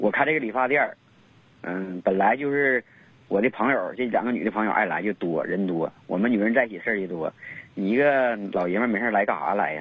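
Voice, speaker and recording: Here a man talks at a fairly quick pace, his fairly low pitch carrying ordinary pitch variation. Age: 30s. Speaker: caller. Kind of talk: phone-in advice call. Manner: halting.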